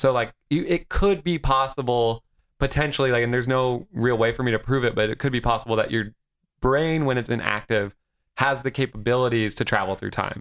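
With a normal speaking voice, a man talks at a fairly quick pace, his pitch medium with ordinary variation. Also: very clean recording, silent background. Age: 20s. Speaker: actor and comedian. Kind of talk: casual chat.

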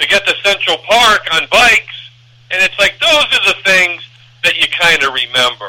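There is noticeable background noise in this clip. Over it, a man talks with lively intonation. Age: 50s. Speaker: baseball podcaster. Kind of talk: casual interview chat.

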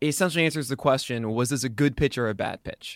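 A man speaks in a normal speaking voice at medium pitch, with ordinary pitch variation. The recording is very clean, with a silent background and a dry, close sound with no echo. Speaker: fantasy baseball analyst and site founder. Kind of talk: casual podcast interview.

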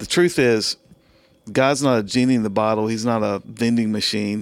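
The recording is very clean, with a silent background. A man with an American accent speaks at a medium pitch and moderate pace, with ordinary pitch variation. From US South, South Carolina. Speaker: pastor. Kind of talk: interview conversation on faith and mental health.

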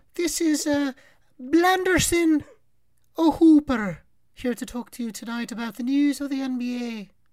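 Using a put-on character voice, a woman talks high for a woman at a fairly slow pace, leaving long, frequent pauses.

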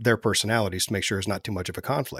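On a very clean recording with a silent background and a dry, close sound with no echo, a man with an American accent speaks at a fairly low pitch with ordinary pitch variation. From US Midwest, central Ohio. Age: 40s. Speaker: entrepreneur and military veteran. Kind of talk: casual interview conversation. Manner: frequent hesitations and fillers.

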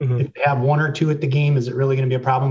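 A man's dark, mellow, somewhat breathy voice at a medium pitch. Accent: American. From Racine, Wisconsin. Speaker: W Club board member, former college athlete. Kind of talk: casual interview.

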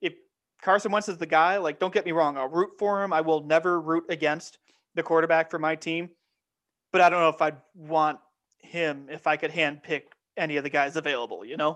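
A man with an ordinary speaking voice, fairly high in pitch, fairly quick and fairly even in intonation, against a quiet background. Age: 20s. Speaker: sports podcast host. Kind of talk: casual chat.

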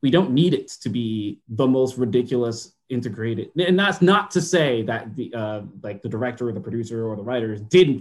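With lively intonation, a man talks at a moderate pace in a normal speaking voice of medium pitch. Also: hardly any pauses. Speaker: writer guest. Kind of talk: casual chat. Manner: joking.

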